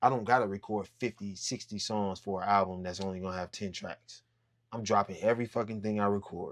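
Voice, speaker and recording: On a very clean recording with a silent background, a man talks at a fairly quick pace in a fairly low pitch. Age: 30s. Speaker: rapper. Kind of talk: casual interview chat. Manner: animated.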